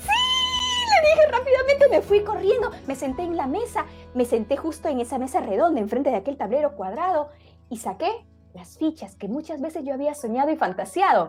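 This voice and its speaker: With music in the background, the voice moves at a moderate pace, showing very wide pitch swings and big swings in loudness. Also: woman, high pitch for a woman. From Peru. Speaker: oral storyteller. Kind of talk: oral storytelling to family audience.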